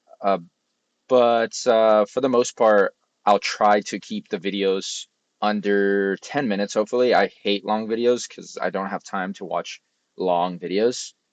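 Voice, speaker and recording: A man mumbles at a fairly slow pace with fairly even intonation. The sound is dry and close with no echo, over a quiet background. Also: fairly low pitch for a man. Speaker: software engineer and tech youtuber. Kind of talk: casual vlog talk. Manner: mumbling, many fillers.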